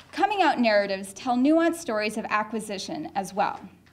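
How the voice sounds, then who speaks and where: In a Canadian accent, a woman speaks at a moderate pace in a high pitch with lively intonation, against noticeable background noise and audible room echo. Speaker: professor. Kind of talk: lecture.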